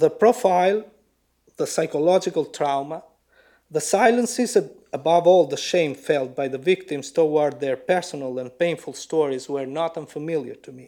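On a very clean recording with a silent background, a man with a dark, mellow tone and fairly high pitch talks at a moderate pace, his loudness swinging widely. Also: lively intonation. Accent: Albanian. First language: Albanian. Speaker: writer. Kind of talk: lecture. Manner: formal.

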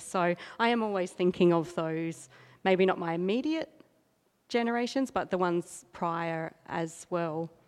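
A woman with an Australian accent speaks at a moderate pace in a fairly low voice. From South Australia. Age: 40s. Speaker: artist. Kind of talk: gallery talk. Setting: gallery with audience.

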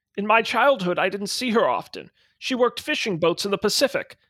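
An unforced reading voice carries the clip. The background is quiet.

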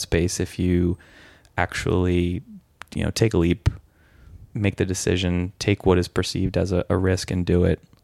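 In an American accent, a man speaks at a moderate pace with a very deep, low pitch. The recording is very clean and dry, with a silent background and no echo. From San Francisco, US. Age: 30s. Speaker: lawyer. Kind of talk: casual chat.

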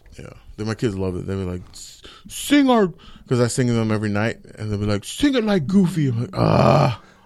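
Over noticeable background noise, a man with an American accent talks at a fairly quick pace, his intonation lively and his loudness swinging a lot. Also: medium pitch for a man. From Okeechobee, Florida. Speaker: comedian. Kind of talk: casual chat. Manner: animated.

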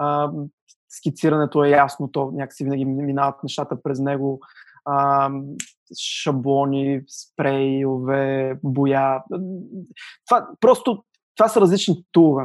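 Fairly slow and fairly even in intonation, a man with a fairly high pitch speaks in a very clean recording with a silent background. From Bulgaria, Sliven. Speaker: graphic designer and studio co-founder. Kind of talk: casual interview. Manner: hesitant, many fillers.

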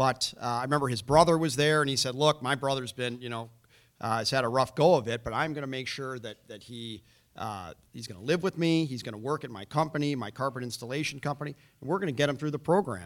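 Recorded very cleanly against a silent background, a man at medium pitch talks very fast, with ordinary pitch variation and big swings in loudness. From Chicago, north side. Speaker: former prosecutor, navy veteran, political candidate. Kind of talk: candidates forum debate. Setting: stage with audience.

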